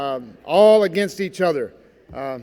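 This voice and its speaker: A man talks loudly. His pitch is high. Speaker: Navy veteran, keynote speaker. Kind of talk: speech to school assembly. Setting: school gymnasium with audience. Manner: animated.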